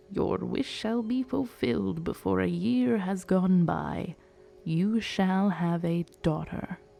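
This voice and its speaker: A woman's put-on character voice, fairly low in pitch and at a fairly slow pace. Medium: read story. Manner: solemn, prophetic.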